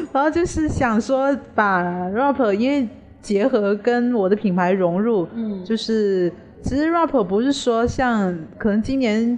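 Speaking at a very slow pace, a woman keeps her loudness very even, using a fairly high pitch and lively intonation. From Hainan, China. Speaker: fashion designer. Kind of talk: interview.

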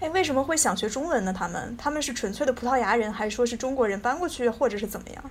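A woman talks at a very fast pace in a high pitch with lively intonation, with noticeable background noise behind her. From Taiyuan, Shanxi, northern China. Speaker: podcast host. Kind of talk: casual chat.

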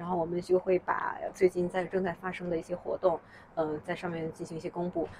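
Monotone, flat intonation runs through speech delivered at a fairly quick pace. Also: woman, fairly low pitch for a woman. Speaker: founder of a fitness community. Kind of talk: casual interview. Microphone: farther from mic, quieter than host.

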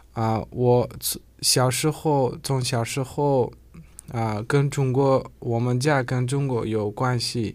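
A very slow pace with fairly even intonation. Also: man, medium pitch for a man. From Uzbekistan. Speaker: international student. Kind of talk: radio interview. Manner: halting, many fillers and repetitions.

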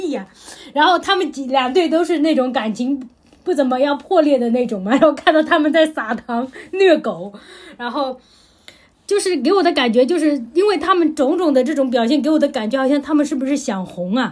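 This woman's voice is high-pitched. Her intonation stays lively throughout. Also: fairly quick pace. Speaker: podcast host. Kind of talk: casual chat.

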